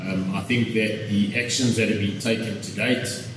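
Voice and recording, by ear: A man's fairly low voice with fairly even intonation, audible room echo and clear background noise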